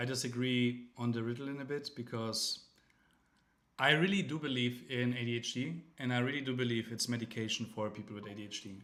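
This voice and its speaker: A man talks at a moderate pace with a German accent. His medium pitch shows ordinary variation. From Germany. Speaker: crypto livestreamer. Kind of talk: casual livestream chat. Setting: livestream. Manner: halting, many fillers and restarts.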